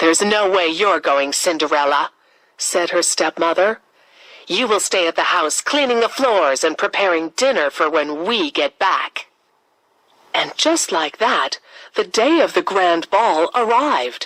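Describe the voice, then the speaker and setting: A woman's medium-pitched voice with very wide pitch swings yet very even loudness, fairly slow, dry and close with no echo. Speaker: storyteller.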